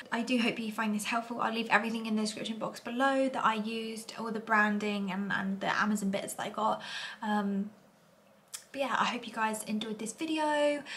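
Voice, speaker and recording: Over noticeable background noise, a woman speaks quietly and at a fairly quick pace, her fairly high pitch held to fairly even intonation. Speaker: beauty vlogger. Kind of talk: casual vlog tutorial. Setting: at home. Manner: chatty, filler-heavy.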